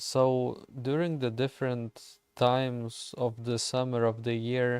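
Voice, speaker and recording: A man with a Lithuanian accent, dry and close with no echo, on a very clean recording with a silent background. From Lithuania, village. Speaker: gaming streamer. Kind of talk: casual chat while gaming livestream.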